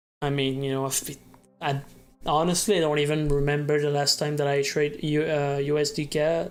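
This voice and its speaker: The speech moves at a fairly quick pace in a French Canadian accent. Music plays in the background. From Quebec. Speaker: day trader streamer. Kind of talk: live trading stream. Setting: live stream.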